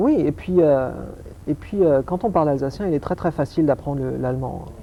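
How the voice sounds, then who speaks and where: At a moderate pace, a man is talking. His pitch sits fairly high. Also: ordinary pitch variation. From France, Alsace. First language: Alsatian (speaking French). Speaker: optics scientist. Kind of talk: TV interview. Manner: hesitant, repetitive.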